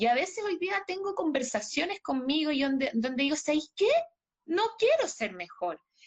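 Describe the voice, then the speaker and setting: At an extremely high pitch with very wide swings, a woman talks at a moderate pace. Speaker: gem therapist. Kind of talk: casual chat.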